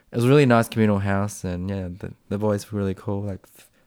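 Talking very fast with an Australian accent, a man with a fairly low voice comes through in a very clean recording with a silent background. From Australia, Springvale, Melbourne. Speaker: paramedic. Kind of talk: casual chat.

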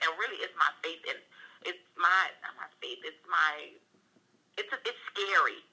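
A woman speaks in a normal speaking voice. Her pitch sits in the middle range. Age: 30s. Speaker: entrepreneur and paralegal. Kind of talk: casual chat.

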